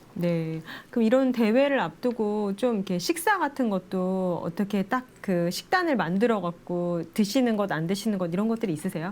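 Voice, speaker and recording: A woman at a moderate pace with hardly any pauses and lively intonation, over noticeable background noise. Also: medium pitch for a woman. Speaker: TV show host. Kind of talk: TV interview host.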